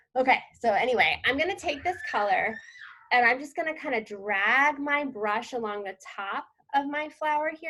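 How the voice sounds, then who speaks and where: In a raised, projected voice, a woman speaks at a high pitch with very wide pitch swings. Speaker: painting instructor. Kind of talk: tutorial. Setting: outdoors, live online class. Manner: fast; casual, many fillers.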